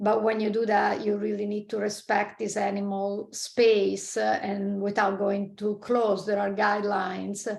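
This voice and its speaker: A woman with a strong Italian accent and medium pitch speaks fairly slowly with hardly any pauses. Her intonation is monotone and flat, with noticeable background noise. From Italy. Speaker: marine scientist. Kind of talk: interview conversation. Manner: halting, many fillers.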